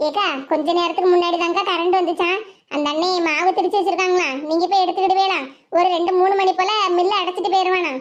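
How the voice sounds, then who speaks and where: A woman's cartoonish character voice, extremely high, monotone and flat, at very even loudness. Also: moderate pace. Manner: aggrieved, insistent.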